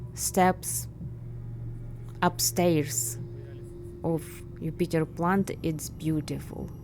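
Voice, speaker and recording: A woman with a Ukrainian accent speaks at a very slow pace over light background noise. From Ukraine. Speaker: urban explorer vlogger. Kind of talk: travel vlog narration. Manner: halting, many fillers. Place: factory. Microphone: phone near.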